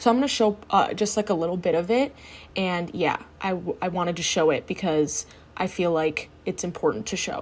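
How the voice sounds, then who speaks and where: The speaker is a woman with an unremarkable speaking voice, fairly low in pitch and lively in intonation. She talks at a fairly quick pace on a very clean recording with a silent background. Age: 20s. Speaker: solo podcast host. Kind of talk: casual monologue.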